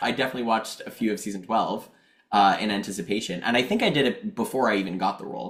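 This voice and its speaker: A man's very fast speech with a Montreal accent. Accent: Canadian English, Montreal. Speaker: actor. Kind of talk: podcast interview. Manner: animated.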